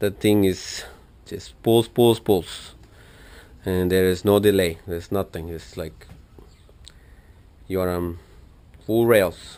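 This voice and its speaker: With a strong non-native accent, a man with a very deep, low pitch and dark, mellow tone speaks at a very slow pace with fairly even intonation and long, frequent pauses. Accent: thick foreign. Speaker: motorcycle enthusiast vlogger. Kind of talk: tutorial. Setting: home garage. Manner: casual, hesitant with fillers.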